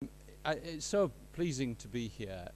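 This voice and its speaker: With a Yorkshire accent, a man speaks in a room with audible echo. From Yorkshire, northern England. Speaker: education professor. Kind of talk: conference keynote talk. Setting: stage with audience. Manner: halting, with repetitions.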